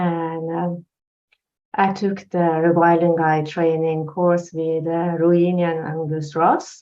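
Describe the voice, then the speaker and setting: Speaking very slowly with a Norwegian accent, a woman uses a fairly low pitch and monotone, flat intonation. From Norway. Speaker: life coach. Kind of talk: personal testimony in interview. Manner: halting.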